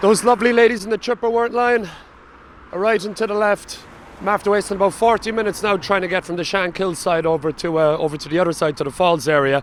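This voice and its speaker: Talking at a very fast pace, a man with a strong Cork accent uses a high pitch and ordinary pitch variation. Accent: thick Cork. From Ireland, Cork. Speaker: travel vlogger. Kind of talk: casual vlog narration.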